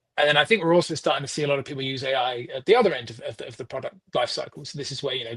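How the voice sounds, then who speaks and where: A very fast-talking man with a British accent and a fairly high pitch. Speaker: software delivery manager, consultant. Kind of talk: interview.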